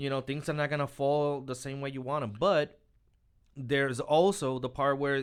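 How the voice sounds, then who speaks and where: A man's plain, everyday voice, fairly high in pitch, with ordinary pitch variation and a moderate pace, on a very clean recording with a silent background. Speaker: author. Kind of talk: casual chat.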